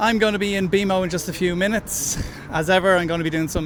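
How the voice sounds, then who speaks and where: With an Irish accent, a man speaks at a high pitch in fairly even intonation, with noticeable background noise behind him. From Ireland. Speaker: football podcast host. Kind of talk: podcast intro; live match commentary and chat.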